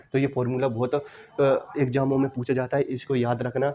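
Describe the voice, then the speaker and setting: The speech runs at a moderate pace with fairly even intonation over noticeable background noise. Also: man. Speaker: math and reasoning teacher. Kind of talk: tutorial. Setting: classroom recording with wooden board.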